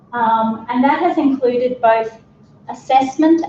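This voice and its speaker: A woman's high-pitched voice with lively intonation at a very slow pace, under noticeable background noise. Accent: Australian. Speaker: speech pathologist and researcher. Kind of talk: conference talk. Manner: raised voice, shouting to be heard. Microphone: microphone battery failing, speaking without mic.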